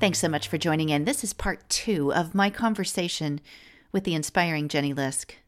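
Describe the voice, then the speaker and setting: A woman speaks at a moderate pace with a fairly low pitch and ordinary pitch variation. Hers is an ordinary speaking voice, captured in a very clean recording with a silent background. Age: late 40s. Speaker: podcast host. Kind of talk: podcast interview; scripted intro and outro.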